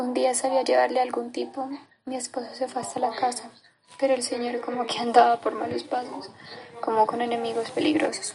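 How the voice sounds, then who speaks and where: A woman speaks at a fairly quick pace with a high pitch and fairly even intonation, with noticeable background noise behind her. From Colombia, Caldas. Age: 20s. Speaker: displaced conflict survivor. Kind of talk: testimony.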